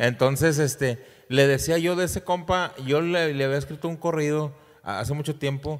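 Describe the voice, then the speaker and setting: A man's fairly high voice at a moderate pace with ordinary pitch variation, over a quiet background. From Mexico, Durango. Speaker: singer; podcast guest. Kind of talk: casual chat. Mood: relaxed, joking storytelling. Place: studio. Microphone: studio mic.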